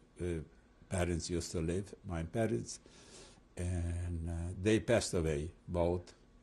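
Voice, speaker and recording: With a quiet background, a man talks at a fairly slow pace with long, frequent pauses, his very deep, low voice dark, mellow and somewhat breathy over fairly even intonation. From Transylvania, Romania. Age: 80s+. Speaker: rabbi and Holocaust survivor. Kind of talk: oral history interview. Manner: halting, with repetitions and fillers.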